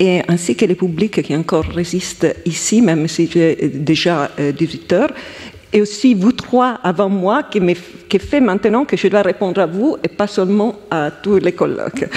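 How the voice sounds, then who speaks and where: A woman with an Italian accent and a medium pitch speaks fairly slowly with lively intonation, with noticeable background noise behind her. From Italy. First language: Italian (speaking French). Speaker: historian. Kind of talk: round table discussion.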